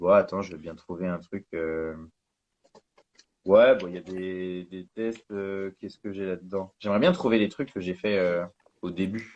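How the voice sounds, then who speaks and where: With a very deep, low pitch, a man speaks at a fairly slow pace, his intonation fairly even, his loudness swinging widely, and long, frequent pauses throughout. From northern France. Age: 20s. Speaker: calligrapher. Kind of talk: casual chat. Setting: live stream interview.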